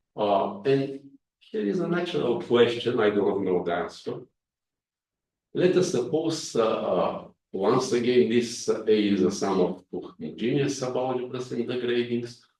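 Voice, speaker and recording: The man's voice sits at a medium pitch, with lively intonation and a fairly slow pace. Audible echo fills the room around him. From Bulgaria. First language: Bulgarian. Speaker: mathematics professor. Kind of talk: lecture. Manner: hesitant with frequent fillers.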